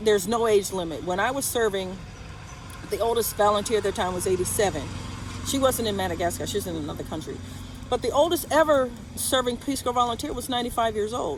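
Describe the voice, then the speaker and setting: A woman with an American accent talks at a very fast pace and fairly high pitch, her intonation lively. Noticeable background noise comes through. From United States. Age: 60s. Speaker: retired volunteer vlogger. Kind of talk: casual vlog monologue.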